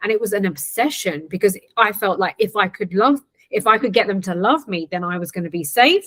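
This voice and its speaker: In an ordinary speaking voice, a woman talks at a medium pitch and moderate pace with lively intonation. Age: 40s. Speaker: trauma transformation coach. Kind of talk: interview.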